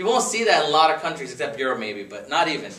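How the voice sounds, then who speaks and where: Room echo is audible and background noise noticeable as a man talks. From India, Gujarat; moved to Connecticut at 13. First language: Gujarati. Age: 30s. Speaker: speaker at a dinner with friends. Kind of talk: after-dinner talk. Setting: dinner gathering with friends. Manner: casual, conversational.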